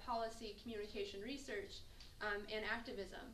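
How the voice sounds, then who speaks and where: Over noticeable background noise and audible room echo, a woman speaks at a fairly high pitch with lively intonation. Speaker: student organizer. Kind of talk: event announcement. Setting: campus lecture with audience.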